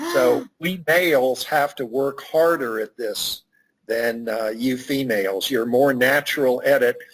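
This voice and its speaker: Here is a plain, everyday voice. It moves at a fairly slow pace with ordinary pitch variation. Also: man. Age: 60s. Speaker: networking expert and author. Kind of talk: interview.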